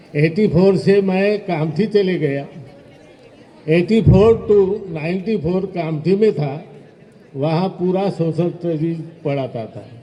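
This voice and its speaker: This is a man's voice. It is high-pitched, with ordinary variation in pitch. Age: 70s. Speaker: retired teacher. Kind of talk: speech at alumni event.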